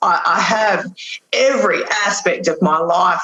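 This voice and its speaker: Very slow in pace, a woman's voice shows ordinary pitch variation. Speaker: estate lawyer. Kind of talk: interview conversation. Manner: loud; animated.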